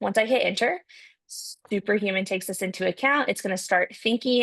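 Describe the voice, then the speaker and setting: A woman's medium-pitched voice at a fairly quick pace with ordinary pitch variation. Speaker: product demo presenter. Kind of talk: software tutorial. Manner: fast.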